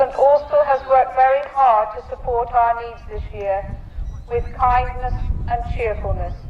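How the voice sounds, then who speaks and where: The loudness swings widely, and the pace is fairly slow. Pitch varies in an ordinary way over noticeable background noise. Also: woman, high pitch for a woman. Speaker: Grand Bard of a Cornish cultural ceremony. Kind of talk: ceremonial speech to an audience.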